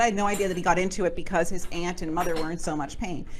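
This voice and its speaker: A woman is speaking. Audible room echo and noticeable background noise accompany her. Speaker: author and book publisher giving a presentation. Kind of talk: presentation with Q&A to a networking group. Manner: fast.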